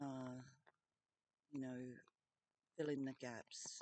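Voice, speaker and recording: A woman speaks very slowly in an Australian accent. The sound is dry and close, with no echo. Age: 50s. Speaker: vlogger. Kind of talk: personal video message. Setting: in a tent. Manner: halting, many fillers.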